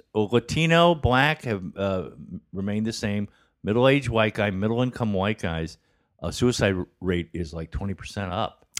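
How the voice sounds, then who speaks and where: This man has a normal speaking voice and lively intonation, recorded very cleanly with a silent background and a dry, close sound with no echo. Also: fairly low pitch for a man. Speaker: comedian. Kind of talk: casual chat. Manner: joking, quick-witted.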